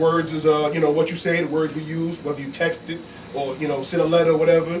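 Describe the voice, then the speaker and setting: A man's fairly high voice at a very fast pace, monotone and flat, with audible room echo and noticeable background noise. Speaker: podcast host guest. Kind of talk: casual chat.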